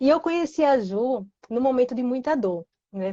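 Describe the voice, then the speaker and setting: A woman speaks in a northeastern Brazilian accent. Her pitch is high. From Recife, Pernambuco, northeastern Brazil. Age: 20s. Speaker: guest sharing personal story. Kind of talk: testimony. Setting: Instagram live.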